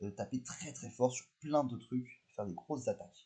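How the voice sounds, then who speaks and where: A man speaks at a medium pitch. His tone is dark, mellow and somewhat breathy. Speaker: Pokémon competitive commentator / YouTuber. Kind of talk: video commentary review. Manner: fast; animated.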